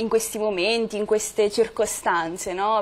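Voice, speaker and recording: The delivery moves at a fairly slow pace with ordinary pitch variation. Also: woman. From Italy, Marche (Morrovalle). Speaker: singer. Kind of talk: TV interview. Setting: studio. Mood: relaxed, slightly shy. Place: studio.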